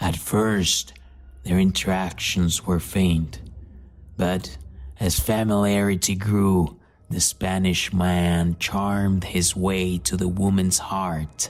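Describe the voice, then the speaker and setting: A put-on character voice comes through low in pitch at a very slow pace. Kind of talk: horror narration. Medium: read story. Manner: solemn, measured.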